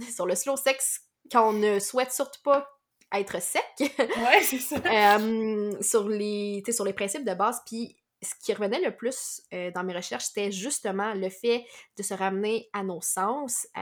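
Her pace is very slow and her pitch fairly high. The woman's pitch variation is ordinary. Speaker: podcast host. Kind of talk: interview conversation.

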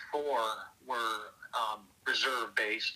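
A man talks at a very slow pace as noticeable background noise carries on behind him. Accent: American. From Minnesota, Northeast Minneapolis. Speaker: army veteran. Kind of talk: interview.

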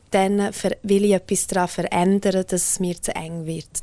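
In a Graubünden accent, a woman with medium pitch and a dark, mellow tone speaks at a fairly slow pace. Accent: Swiss German, Bündner dialect. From Switzerland, Graubünden (Engadin). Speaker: singer. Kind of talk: interview.

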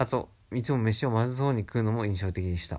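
Recorded very cleanly against a silent background, a man uses an ordinary speaking voice at medium pitch with ordinary pitch variation. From Japan. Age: 20s. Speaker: film fan. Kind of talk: reading aloud.

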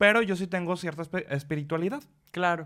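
At a fairly quick pace, a man talks with ordinary pitch variation in an ordinary speaking voice. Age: 20s. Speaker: podcast host. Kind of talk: casual chat.

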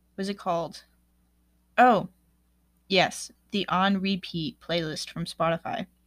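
A woman at a medium pitch with fairly even intonation, a fairly slow pace and long, frequent pauses, in a very clean recording with a silent background and a dry, close sound with no echo. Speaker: podcast host. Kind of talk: casual monologue.

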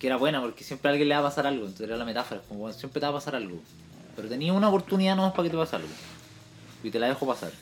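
A man talks at a very fast pace with a Chilean accent. His fairly high voice makes very wide pitch swings. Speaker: podcast co-host. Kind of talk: casual chat.

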